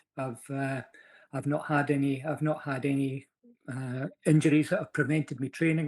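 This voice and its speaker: A man with a Scottish accent and fairly high pitch, moderate pace, fairly even intonation, a dry, close sound with no echo and a very clean recording with a silent background. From Scotland. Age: 60s. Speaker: amateur fitness racer. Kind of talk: podcast interview answer.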